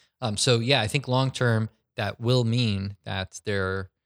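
On a very clean recording with a silent background and a dry, close sound with no echo, a man uses a normal speaking voice at a fairly low pitch with fairly even intonation. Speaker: podcast host. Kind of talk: casual chat.

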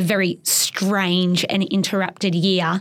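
A woman talks in an Australian accent. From Australia, Geelong, Victoria. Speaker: competitive water skier. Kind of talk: interview. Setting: studio.

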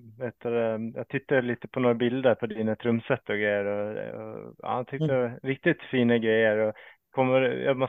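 A man with an unremarkable speaking voice and medium pitch talks at a moderate pace with fairly even intonation. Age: 40s. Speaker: podcast host. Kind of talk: casual chat. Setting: video call.

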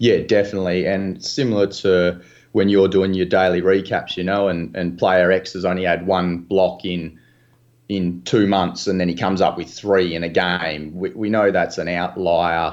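A man with an Australian accent and very deep, low pitch, at a moderate pace with fairly even intonation, over a quiet background. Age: 30s. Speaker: sports betting analyst. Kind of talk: podcast interview.

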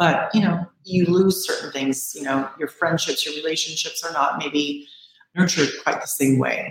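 In an ordinary speaking voice with an American accent, a woman talks at a moderate pace, her fairly low pitch and fairly even intonation. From US West Coast, San Francisco Bay Area. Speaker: skincare company owner and esthetician. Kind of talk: interview.

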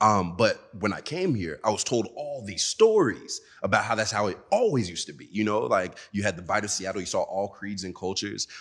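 At a fairly quick pace with hardly any pauses, a man talks with big swings in loudness. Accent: American. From Nigeria (Lagos), then Dallas, Texas. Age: young. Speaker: DJ and festival organizer. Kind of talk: interview. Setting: studio.

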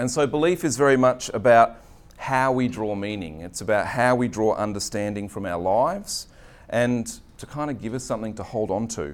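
With an Australian accent, a man talks at a medium pitch and a moderate pace. His intonation is lively, and the room echo is audible. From Australia, Queensland (Redcliffe). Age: 40s. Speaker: pastor. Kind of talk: sermon. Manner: halting.

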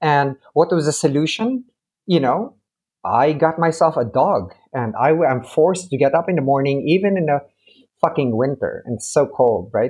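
With lively intonation and a somewhat breathy, fairly high voice, the man talks at a moderate pace. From tropics. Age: 50s. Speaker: physician and researcher. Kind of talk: interview conversation.

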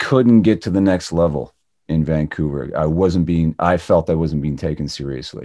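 This man has a very deep, low pitch and a dark, mellow tone. He speaks at a moderate pace with ordinary pitch variation. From Ontario, Canada. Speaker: actor and former radio DJ. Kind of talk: casual interview.

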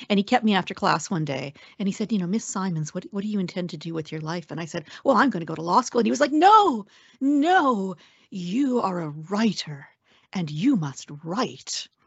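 A woman with a western Canadian accent speaks at a medium pitch and a moderate pace. Her somewhat breathy voice swings very widely in pitch. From Canada, Alberta. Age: 50s. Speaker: senator and former journalist. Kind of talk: interview.

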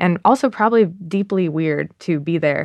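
A woman's normal speaking voice, a normal speaking voice of fairly low pitch with ordinary pitch variation, against a quiet background. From Massachusetts. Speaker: journalist. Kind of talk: interview.

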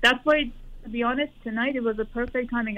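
A woman speaks in an ordinary speaking voice at a fairly quick pace. Her intonation stays fairly even. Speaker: parent. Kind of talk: personal advice call. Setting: phone call.

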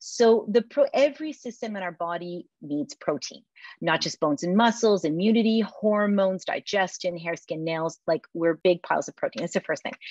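A woman's ordinary speaking voice at a medium pitch and moderate pace, with hardly any pauses, in a dry, close sound with no echo against a quiet background. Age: 50s. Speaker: food company founder and CEO. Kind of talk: interview.

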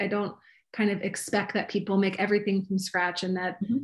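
This woman, with an American accent, has a medium pitch and a somewhat breathy voice. She speaks at a very fast pace over a quiet background. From US East Coast, Maryland. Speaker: recipe developer and cooking teacher. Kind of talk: casual interview.

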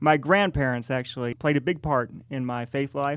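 This man has a fairly high pitch and an American accent. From rural southern Illinois, US Midwest. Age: 40s. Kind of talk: faith testimony interview.

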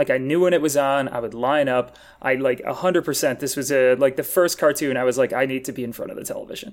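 A man's fairly high voice at a very fast pace, with fairly even intonation and hardly any pauses, on a very clean recording with a silent background. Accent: American. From US Midwest, Wisconsin. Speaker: comedian. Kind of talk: casual chat.

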